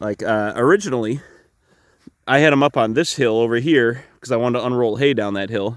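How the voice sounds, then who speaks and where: A man's medium-pitched voice at a fairly quick pace, on a very clean recording with a silent background. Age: 30s. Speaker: farmer. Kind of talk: casual vlog talk. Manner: halting.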